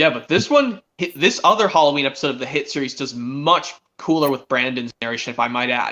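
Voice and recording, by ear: A bright, sharp tone moves at a fairly quick pace with lively intonation. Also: man, medium pitch for a man.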